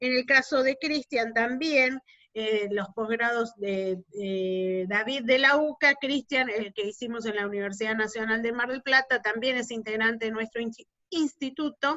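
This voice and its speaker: A woman at a fairly high pitch, with ordinary pitch variation and a fairly slow pace. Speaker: lawyer, institute coordinator. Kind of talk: online meeting moderation. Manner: hesitant, many fillers.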